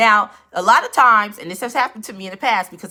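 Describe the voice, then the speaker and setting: A woman talks fairly quickly in an animated way. Her medium-pitched voice has a bright, sharp tone. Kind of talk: live-stream tutorial. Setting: live stream on Instagram and YouTube. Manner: casual, animated.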